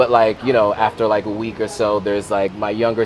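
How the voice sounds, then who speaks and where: A man talks with an American accent in a fairly low pitch. Noticeable background noise runs underneath. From US, Sierra Leonean family. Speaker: content creator. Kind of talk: casual chat.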